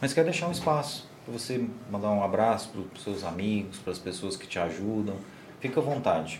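Lively in intonation, a man speaks in a somewhat breathy voice with a fairly low pitch. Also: fairly quick pace, big swings in loudness. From Goiás, Brazil (Morrinhos). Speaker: podcast host. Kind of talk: casual interview. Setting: studio, livestream.

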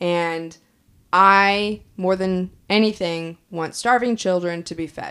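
A woman speaks at a very slow pace, with big swings in loudness and fairly even intonation. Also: medium pitch for a woman. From Kansas. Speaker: podcast co-host. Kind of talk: casual chat.

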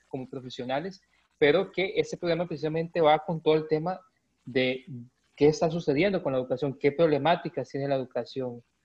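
A man's fairly high-pitched voice at a fairly quick pace, with fairly even intonation. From Costa Rica, Heredia. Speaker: teacher, podcast host. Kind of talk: casual panel discussion.

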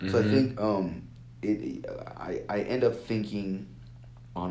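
In an American accent, the voice has a dark, mellow tone with vocal fry. The intonation is lively and the pace moderate. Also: man. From California, with teen years in Lagos, Nigeria. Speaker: engineering student. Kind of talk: casual chat.

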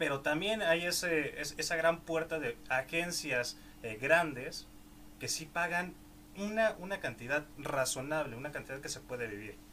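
Lively intonation marks a man's fairly high pitch in an ordinary speaking voice. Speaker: podcast host. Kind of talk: interview.

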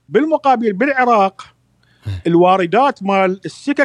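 A man's high-pitched voice with lively intonation comes through dry and close, with no echo. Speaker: journalist. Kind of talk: casual chat.

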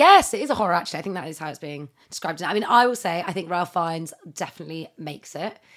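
Speaking very fast in a British accent, a woman uses a fairly low pitch, an animated tone and lively intonation. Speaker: podcast co-host. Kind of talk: casual chat. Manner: animated, fast, chatty.

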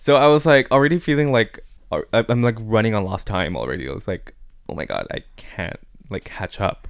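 A man with a medium pitch and vocal fry speaks at a moderate pace, with very wide pitch swings and big swings in loudness. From Taiwan, with childhood years in Bangkok, Thailand. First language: Mandarin Chinese. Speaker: interview guest. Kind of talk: casual chat. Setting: studio.

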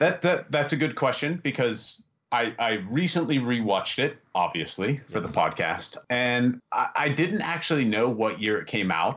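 A man with an American accent and a plain, everyday voice speaks at a moderate pace with hardly any pauses, medium pitch and lively intonation over a quiet background. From US, western Pennsylvania. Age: 30s. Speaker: librarian. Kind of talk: casual chat.

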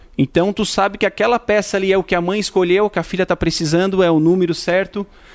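Heard in a dry, close sound with no echo, a man speaks at a high pitch with fairly even intonation. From Tubarão, Santa Catarina, southern Brazil. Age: 30s. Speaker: shop owner and agronomist. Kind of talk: interview. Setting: in a shop. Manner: halting, many repetitions.

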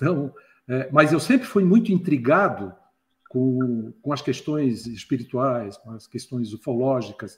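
Lively intonation marks this man's medium-pitched, somewhat breathy voice as he talks at a fairly slow pace with big swings in loudness. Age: 60s. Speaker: retired IT professional and ufology enthusiast. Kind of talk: casual chat.

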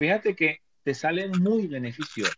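A man speaks with lively intonation. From Venezuela. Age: 50s. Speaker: tarot reader and motivational coach. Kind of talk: casual chat. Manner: halting.

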